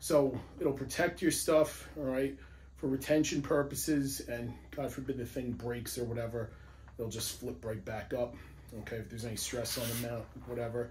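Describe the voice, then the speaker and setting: A man with a medium pitch and vocal fry talks at a moderate pace. His intonation is fairly even, and the room echo is audible. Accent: New York. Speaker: police firearms instructor, gear reviewer. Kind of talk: product review video. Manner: casual, conversational.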